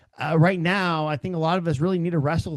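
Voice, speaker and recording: A man with an American accent speaks at a very fast pace. The background is quiet. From Oklahoma, Cherokee reservation. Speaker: podcast host. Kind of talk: personal reflection podcast. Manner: hesitant, many fillers.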